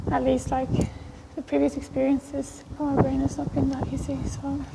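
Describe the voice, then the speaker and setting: The speaker goes at a fairly slow pace against noticeable background noise. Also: woman. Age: 20s. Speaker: vlogger with agoraphobia. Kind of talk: vlog. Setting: outdoors on a walk. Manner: halting.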